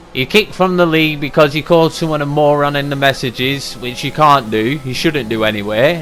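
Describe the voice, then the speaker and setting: A man's fairly high voice at a fairly quick pace, with hardly any pauses, ordinary pitch variation and noticeable background noise. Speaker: sim racing league driver and commentator. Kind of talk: race recap commentary. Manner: fast.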